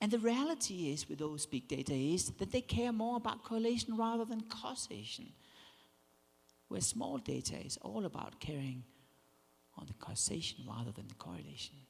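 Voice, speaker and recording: A man's animated, fairly high voice with a strong Danish accent and very wide pitch swings. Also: moderate pace. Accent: thick Danish. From Denmark. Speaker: branding consultant. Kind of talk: keynote speech. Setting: conference stage with audience.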